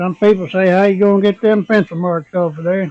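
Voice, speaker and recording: With music in the background, a man speaks in a high pitch with fairly even intonation. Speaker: woodworker. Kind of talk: woodworking tutorial talk to camera. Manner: slow.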